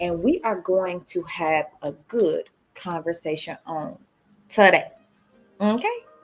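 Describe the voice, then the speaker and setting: A woman's fairly low voice at a very slow pace, with long, frequent pauses, ordinary pitch variation and music in the background. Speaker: relationship livestream host. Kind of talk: casual livestream chat.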